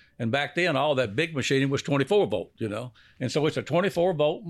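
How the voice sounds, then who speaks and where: A man with a fairly high pitch speaks at a fairly quick pace with ordinary pitch variation against a quiet background. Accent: Louisiana. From Louisiana. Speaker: decoy company founder. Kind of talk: casual chat.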